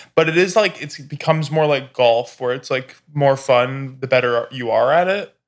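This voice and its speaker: This man's voice sits fairly high with ordinary pitch variation. His loudness swings widely. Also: moderate pace. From US West Coast, Orange County California. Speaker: comedian. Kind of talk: casual chat. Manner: halting, many fillers.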